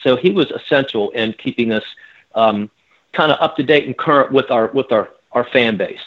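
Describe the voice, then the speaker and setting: An unremarkable speaking voice from a man with an American accent, medium pitch, ordinary pitch variation and a moderate pace. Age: 60s. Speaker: rock singer. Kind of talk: interview.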